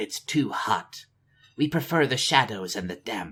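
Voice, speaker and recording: In a raspy put-on character voice, a man talks at a moderate pace. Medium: read story.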